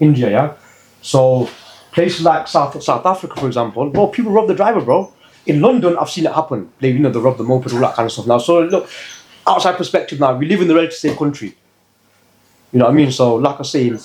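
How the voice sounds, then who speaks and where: Lively in intonation and somewhat breathy, the speech runs at a very fast pace yet breaks into long, frequent pauses. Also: man. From English Midlands, Leicester. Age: 30s. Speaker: youth worker, former street hustler. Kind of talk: casual podcast interview. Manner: animated, conversational.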